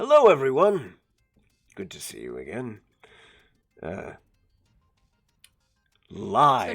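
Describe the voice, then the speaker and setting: In a put-on character voice, a man speaks raspily at a medium pitch and a fairly slow pace, leaving long, frequent pauses. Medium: actual play. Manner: hesitant, wry.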